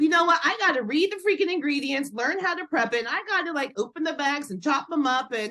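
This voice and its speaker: A woman's raised, projected voice is high, bright and sharp, with lively intonation. She speaks at a very fast pace with hardly any pauses. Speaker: dental clinician and entrepreneur. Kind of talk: podcast interview answer. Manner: fast-talking.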